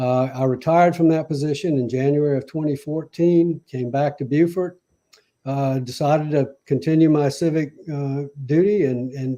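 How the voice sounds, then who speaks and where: A man's fairly high, dark, mellow voice in a South Carolina Lowcountry accent, with fairly even intonation at a moderate pace. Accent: Southern US (South Carolina Lowcountry). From US South, Charleston, South Carolina. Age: 70s. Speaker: mayoral candidate. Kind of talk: interview. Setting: live radio/stream interview.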